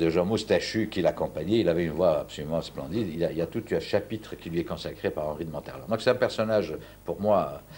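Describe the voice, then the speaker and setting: Talking very fast, a man is heard on a very clean recording against a silent background. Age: 60s. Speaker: university professor and Andalusian music specialist. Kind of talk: TV interview. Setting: at home. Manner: halting, many repetitions.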